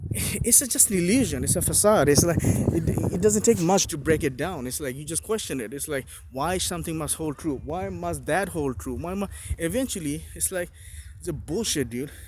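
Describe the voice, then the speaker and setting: Over noticeable background noise, a man speaks in a fairly high voice with lively intonation. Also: moderate pace. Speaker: solo video blogger. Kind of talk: impromptu monologue. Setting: walking while recording. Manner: halting, many fillers and restarts.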